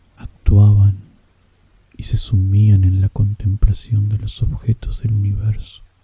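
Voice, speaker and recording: A soft-spoken whisper at a very slow pace. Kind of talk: whispered audiobook narration of a literary story. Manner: whispered, soft.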